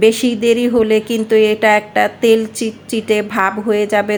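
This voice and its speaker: Her voice sits at a fairly high pitch for a woman, delivered in a monotone, flat intonation. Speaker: cooking channel host. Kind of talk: tutorial.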